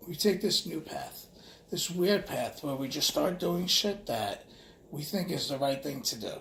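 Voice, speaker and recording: With a New York accent, a man speaks at a high pitch. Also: ordinary pitch variation, fairly slow pace. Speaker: vlogger. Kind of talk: casual monologue. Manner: halting.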